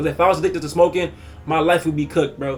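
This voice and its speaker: Over noticeable background noise, a high-pitched man speaks at a very fast pace. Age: 20s. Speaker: youtuber. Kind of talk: casual vlog monologue. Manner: halting.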